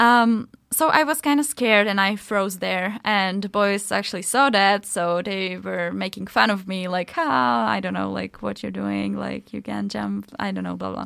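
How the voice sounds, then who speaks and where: A woman talks at a moderate pace in a Czech accent. She leaves hardly any pauses. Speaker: podcast co-host. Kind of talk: casual chat.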